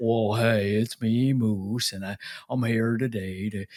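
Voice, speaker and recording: Putting on a character voice, a man talks fairly slowly at a medium pitch. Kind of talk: chatty video host. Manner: playful, goofy.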